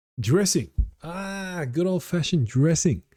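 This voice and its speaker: Somewhat breathy and dark, mellow in tone, a man talks at a fairly slow pace with very wide pitch swings, recorded dry and close with no echo. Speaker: speaking practice vlogger. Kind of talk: impromptu speaking practice. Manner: halting.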